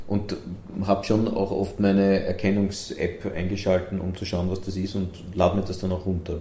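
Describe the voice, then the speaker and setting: Against audible room echo, a man speaks at a moderate pace with a very deep, low pitch, a dark, mellow tone, a somewhat breathy quality and monotone, flat intonation. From Vienna, Sievering. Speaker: festival director. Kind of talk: interview. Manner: halting.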